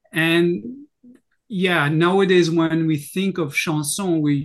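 A man with a French accent, fairly high-pitched, very slow, ordinary pitch variation, quiet background. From France. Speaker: singer and university lecturer. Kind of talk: casual chat.

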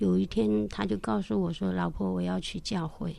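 A woman is speaking. The background is quiet. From mainland China, Jiangxi Shangrao. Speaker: caregiver, widow sharing faith testimony. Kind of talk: testimony.

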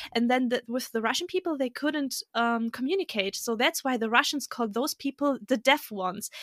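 A woman talks at a high pitch and a fairly quick pace, with hardly any pauses and ordinary pitch variation. The sound is dry and close, with no echo. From Germany. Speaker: podcast guest. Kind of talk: casual chat. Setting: remote recording.

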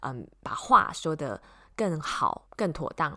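In a very deep, low pitch with a bright, sharp tone, a woman with a Taiwanese accent speaks at a fairly slow pace. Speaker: podcast host, tech presenter, former radio host.

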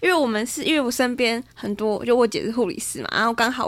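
A woman talks at a very fast pace. Her voice sits high in pitch. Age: 20s. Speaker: spiritual teacher. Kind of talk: casual chat.

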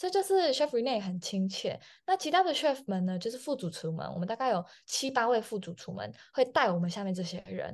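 With a Taiwanese accent, a woman speaks at a fairly high pitch and a fairly quick pace, her energetic tone marked by very wide pitch swings against a quiet background. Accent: Taiwanese Mandarin. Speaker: chef. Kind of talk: interview.

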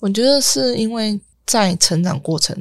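Speaking at a very slow pace, a woman's somewhat breathy voice carries lively intonation in a dry, close sound with no echo. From Taiwan. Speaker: former foster-home resident, product designer. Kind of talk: interview.

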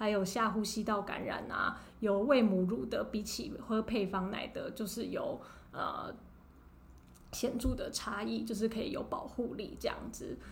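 A woman talks at a fairly slow pace amid audible room echo. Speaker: pediatrician. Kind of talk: interview.

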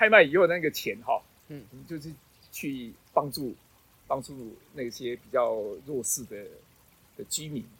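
A man's fairly high voice at a moderate pace, with lively intonation, long and frequent pauses, big swings in loudness, and a very clean recording with a silent background. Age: 60s. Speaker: retired special education art teacher. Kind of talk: interview. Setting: outdoors. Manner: halting.

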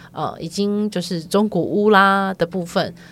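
On a very clean recording with a silent background, a woman uses an ordinary speaking voice at a moderate pace with fairly even intonation. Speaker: podcast co-host. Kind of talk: casual chat.

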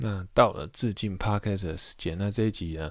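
A man's moderate-paced speech, with ordinary pitch variation, comes through on a very clean recording against a silent background. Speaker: podcast host. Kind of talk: solo podcast monologue. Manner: hesitant, many filler sounds.

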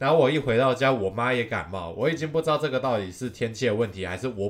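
With lively intonation, a man rushes through his words at a very fast pace. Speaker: baseball podcast host. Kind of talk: casual solo commentary. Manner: halting, frequent repetitions.

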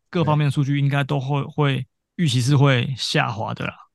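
At a moderate pace, an unremarkable speaking voice comes through over a quiet background. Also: man. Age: middle-aged. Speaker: podcast co-host. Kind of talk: casual chat; scripted show intro.

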